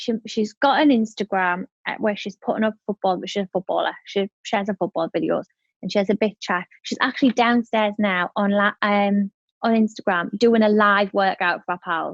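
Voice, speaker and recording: A woman with a northern English accent, medium pitch and ordinary pitch variation, in a dry, close sound with no echo. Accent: broad northern English. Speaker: entrepreneur. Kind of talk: podcast interview. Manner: fast.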